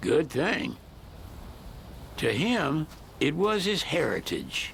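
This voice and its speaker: A man's high, drawling put-on character voice, very slow in pace with lively intonation, amid clear background noise. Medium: video game. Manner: folksy, drawling.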